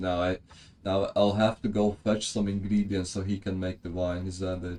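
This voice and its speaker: A man with a non-native accent speaks at a moderate pace and a fairly low pitch, his tone dark and mellow. The recording is very clean, with a silent background. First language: not English. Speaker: video game streamer. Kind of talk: live gameplay stream, reading game dialogue aloud with chat replies. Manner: casual, stumbling over unfamiliar names.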